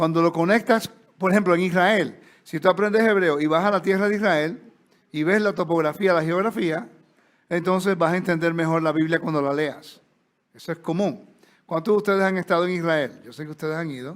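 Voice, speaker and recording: A man's high-pitched voice in a Puerto Rican accent, at a fairly quick pace with ordinary pitch variation, on a very clean recording with a silent background. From Puerto Rico. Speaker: Bible teacher. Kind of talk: lecture. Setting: stage with audience. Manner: conversational.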